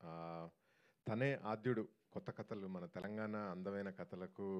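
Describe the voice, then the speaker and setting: The man's fairly low voice has a dark, mellow tone and ordinary pitch variation. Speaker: film producer. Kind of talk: speech at a film trailer launch event. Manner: calm.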